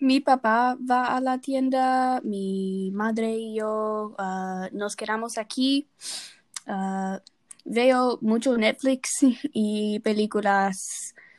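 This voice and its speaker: In a very clean recording with a silent background, a woman speaks very slowly in a fairly high voice with fairly even intonation. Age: 20s. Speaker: nursing student. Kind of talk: casual chat. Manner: halting.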